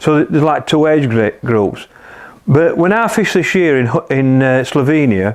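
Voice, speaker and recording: At a moderate pace, a man with a Yorkshire accent and a fairly high pitch talks with lively intonation and very even loudness. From northern England, South Kirkby, Yorkshire mining village. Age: 60s. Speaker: match angler. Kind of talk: interview answers in live-stream Q&A. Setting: live stream on Facebook.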